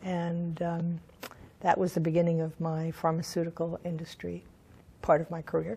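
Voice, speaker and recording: A woman speaks in a fairly low, somewhat breathy voice with a dark, mellow tone. Her intonation is monotone and flat. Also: moderate pace. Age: 70s. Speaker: sex educator and counselor. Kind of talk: interview. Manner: halting, with fillers.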